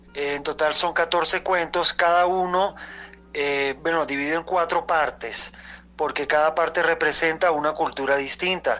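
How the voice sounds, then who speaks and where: Using a normal speaking voice, a man talks at a moderate pace and fairly high pitch with fairly even intonation. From Venezuela. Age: young. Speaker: writer. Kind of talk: interview answer. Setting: voice message.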